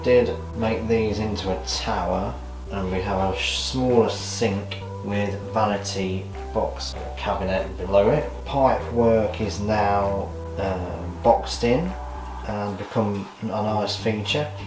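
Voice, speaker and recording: Clear music plays in the background while a man speaks at a fairly low pitch and a very slow pace. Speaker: home vlogger. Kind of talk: casual vlog chat. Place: bathroom. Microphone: phone near.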